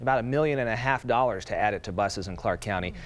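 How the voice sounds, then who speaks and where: A plain, everyday voice with ordinary pitch variation over a quiet background. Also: man. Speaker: news anchor. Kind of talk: local TV newscast anchor read.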